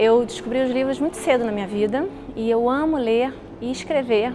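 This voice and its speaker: High-pitched woman's voice with ordinary pitch variation over noticeable background noise. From Brazil, Rio de Janeiro. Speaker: journalist. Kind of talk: interview testimony. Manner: halting.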